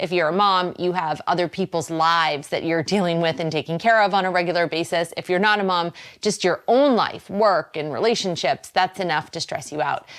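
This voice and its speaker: A woman with a slight Boston accent talks at a fairly quick pace with ordinary pitch variation. Her pitch is fairly low, and the recording is very clean with a silent background. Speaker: wellness show host. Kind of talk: talk show monologue. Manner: casual, conversational.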